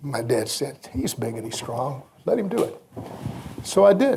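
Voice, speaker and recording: With audible room echo, a man with an American accent talks at a moderate pace, his pitch swinging very widely. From US South, Mississippi Delta. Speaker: radio broadcaster. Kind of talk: anecdotal storytelling. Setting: banquet stage with audience.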